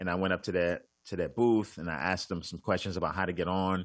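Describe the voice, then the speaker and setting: Very fast speech with a New York accent and fairly even intonation, dry and close with no echo, over a quiet background. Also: man. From Brooklyn, New York. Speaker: comedian. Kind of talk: casual chat.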